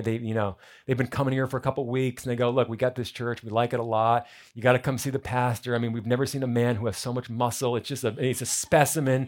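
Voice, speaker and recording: This is a man with an unremarkable speaking voice. The recording is very clean, with a silent background. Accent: American. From New Jersey. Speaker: pastor. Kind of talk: sermon. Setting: church.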